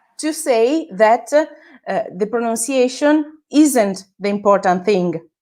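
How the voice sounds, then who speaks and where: A woman with an Italian accent at a very slow pace, fairly high in pitch, with lively intonation. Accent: Italian accent, self-described as terrible. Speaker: social media manager. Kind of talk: interview. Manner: halting, many fillers.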